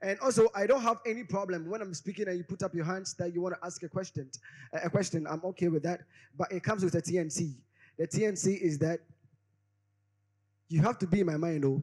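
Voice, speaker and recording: A man speaks at a very fast pace in a high, animated voice with ordinary pitch variation. Long, frequent pauses break up his words. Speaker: conference speaker. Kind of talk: conference talk. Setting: stage with audience.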